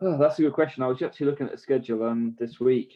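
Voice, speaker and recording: A man is speaking. He has an English accent. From southern England. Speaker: racing driver. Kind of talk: casual interview chat.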